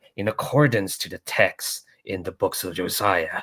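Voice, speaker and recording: A man's gruff, put-on character voice at a medium pitch and moderate pace. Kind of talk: reading scripture. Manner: gruff, not quite convincing.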